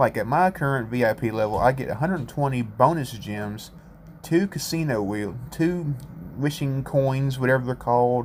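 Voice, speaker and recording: A man with a rural American accent speaks at a moderate pace and medium pitch, using ordinary pitch variation. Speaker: gaming YouTuber. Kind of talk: gameplay commentary. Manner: casual, self-correcting.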